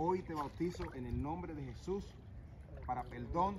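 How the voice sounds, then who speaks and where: The room echo is clearly audible. A man talks at a fairly slow pace. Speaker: pastor. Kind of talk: baptism ceremony. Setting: outdoors. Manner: halting.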